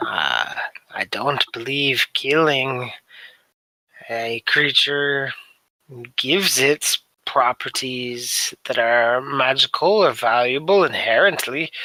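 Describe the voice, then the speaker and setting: A put-on character voice from a man, raspy and medium-pitched, very slow with long, frequent pauses, dry and close with no echo. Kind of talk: archaic formal speech. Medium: actual play. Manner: formal, courteous, unflappable.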